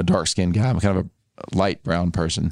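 A man with an Arkansas accent speaks at a very fast pace with a very deep, low pitch. The sound is dry and close with no echo, over a quiet background. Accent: Southern US (Arkansas). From US South, Arkansas. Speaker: author and advertising agency founder. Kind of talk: casual chat.

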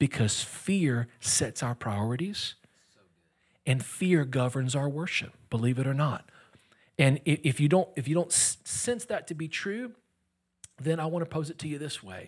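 A man with an American accent speaks in a fairly high pitch, his voice somewhat breathy. He goes at a fairly slow pace with long, frequent pauses, in a very clean recording with a silent background. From US Gulf Coast. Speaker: guest pastor. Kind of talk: sermon. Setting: church, stage with audience.

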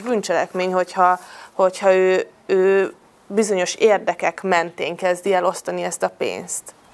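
A woman speaks in an ordinary speaking voice. Her pitch is medium. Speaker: deputy mayor. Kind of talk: panel discussion.

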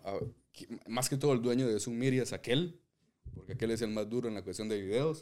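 On a very clean recording with a silent background, a man speaks at medium pitch with a dark, mellow tone and ordinary pitch variation. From Guatemala, Zacapa. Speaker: podcast co-host. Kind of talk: casual chat.

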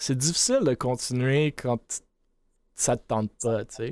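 The background is silent and the recording very clean. A man speaks with ordinary pitch variation. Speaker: esports podcast host and esports business co-founder. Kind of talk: casual chat. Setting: livestream.

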